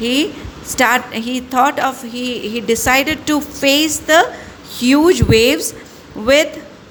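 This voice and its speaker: Against noticeable background noise and audible room echo, a woman speaks at a high pitch and a very slow pace. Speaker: school English teacher. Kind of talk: online class lecture. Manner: halting, many fillers and self-corrections.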